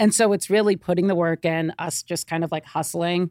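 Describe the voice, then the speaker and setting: A woman with a normal speaking voice talks fairly quickly at a fairly low pitch with fairly even intonation, recorded very cleanly against a silent background, the sound dry and close with no echo. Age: 30s. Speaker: business co-owner. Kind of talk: casual chat. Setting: studio.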